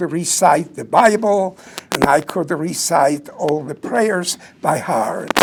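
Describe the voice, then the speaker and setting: A man with a non-native accent speaks in a high pitch at a very slow pace. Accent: foreign. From southern Poland. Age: 90s. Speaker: Holocaust survivor speaker, retired doctor. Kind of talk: public talk. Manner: preacher-like.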